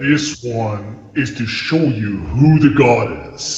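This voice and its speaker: With clear background noise and a slight echo, a man uses a booming, put-on character voice at a medium pitch and a fairly slow pace. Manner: booming and godlike.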